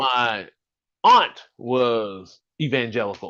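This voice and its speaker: Against a quiet background, a man talks in an animated, bright and sharp tone with ordinary pitch variation. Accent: American. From US South, Birmingham, Alabama. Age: 50s. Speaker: podcast host. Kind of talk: solo live stream monologue. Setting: live stream from home.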